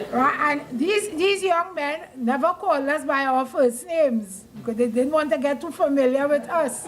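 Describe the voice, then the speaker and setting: A woman's high pitch, ordinary pitch variation and moderate pace, with hardly any pauses and noticeable background noise. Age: 70s. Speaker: school alumna giving history. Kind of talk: speech at a reunion.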